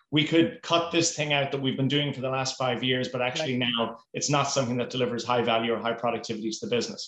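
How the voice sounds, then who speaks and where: With an Irish accent, a man with a fairly high pitch talks at a very fast pace and ordinary pitch variation. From Ireland. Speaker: four-day week advocacy program manager. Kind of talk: interview.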